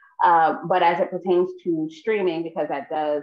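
In an American accent, a woman with a fairly low pitch speaks over a quiet background. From New York City. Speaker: filmmaker and nonprofit founder; guest. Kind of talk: panel discussion. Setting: video call. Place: home room. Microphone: video call.

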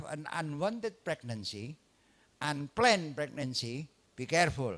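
Very wide pitch swings mark this man's fairly high voice. He speaks very slowly with an Indonesian accent. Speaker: obstetrician lecturer. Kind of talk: lecture. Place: hall. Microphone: handheld.

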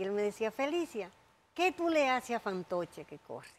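Someone talks at a moderate pace in a Dominican accent. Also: woman. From Dominican Republic. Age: 60s. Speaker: jockey. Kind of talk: interview. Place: studio.

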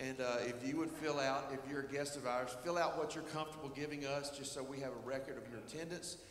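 Audible room echo and light background noise surround a man talking at a fairly quick pace with ordinary pitch variation. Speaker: worship pastor. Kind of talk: church welcome and announcements. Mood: warm, welcoming. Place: church. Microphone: handheld.

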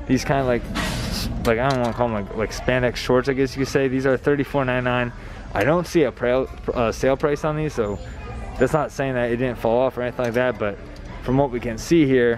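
A man talks at a fairly quick pace with fairly even intonation. Faint music plays in the background, and the sound is dry with no echo. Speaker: shopping vlogger. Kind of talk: casual vlog chat. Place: shop. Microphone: phone near.

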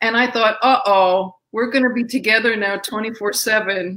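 The voice has a bright, sharp tone and moves at a very slow pace. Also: woman. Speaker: guest. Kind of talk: interview answer. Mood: warm, amused, laughing. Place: home room.

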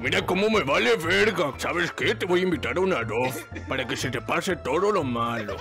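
Over clear background music, a man does a cartoonish character voice at a fairly high pitch and a fairly quick pace. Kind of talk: comic cartoon impression. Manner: drawling, sighing, goofy.

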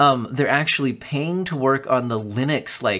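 A man speaks at a medium pitch. His tone is bright and sharp. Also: ordinary pitch variation, moderate pace.

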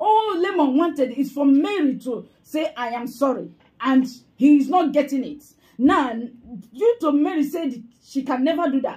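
Against a quiet background, a woman speaks with a high pitch, a dark, mellow tone and lively intonation. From Nigeria. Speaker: fan page commentator. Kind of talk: angry rant. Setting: online video. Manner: scolding and accusatory. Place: home room. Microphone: phone near.

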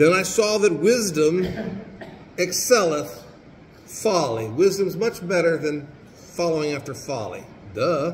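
A man talks at a fairly slow pace with a fairly high pitch and big pitch swings. Audible room echo surrounds his voice.

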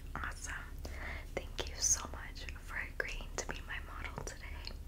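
A woman's extremely high-pitched voice at a fairly slow pace, over noticeable background noise. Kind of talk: soft-spoken role-play talk to viewer. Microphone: phone near.

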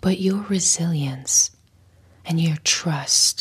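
Soft-spoken and somewhat breathy, a woman talks at a very slow pace with fairly even intonation. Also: fairly low pitch for a woman. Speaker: content creator. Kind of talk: soft motivational talk, ASMR-like. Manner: soft-spoken, close-mic, tender. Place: home room. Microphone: lapel.

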